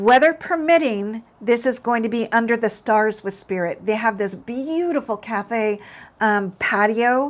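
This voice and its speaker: A woman's fairly high voice at a fairly slow pace, with ordinary pitch variation, on a very clean recording with a silent background. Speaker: psychic medium and spiritual teacher. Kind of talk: casual monologue to camera. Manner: loud; hesitant, many fillers.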